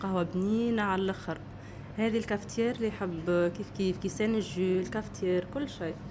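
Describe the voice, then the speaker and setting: With a Tunisian accent, a woman speaks at a medium pitch and moderate pace. Her tone is dark and mellow, her intonation fairly even. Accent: Tunisian Arabic with French words. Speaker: food vlogger. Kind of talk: casual vlog review. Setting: in a restaurant.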